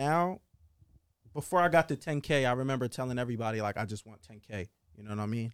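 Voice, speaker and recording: A man's very fast speech at a medium pitch, with ordinary pitch variation and big swings in loudness, on a very clean recording with a silent background. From US Northeast, South Jersey. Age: 20s. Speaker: rapper. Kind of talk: casual chat.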